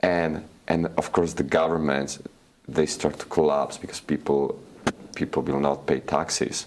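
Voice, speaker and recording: A man with a Slovak accent, very deep and low in pitch, in a monotone, flat intonation, against noticeable background noise. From Slovakia. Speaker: crypto expert. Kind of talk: interview. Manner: halting, many repetitions.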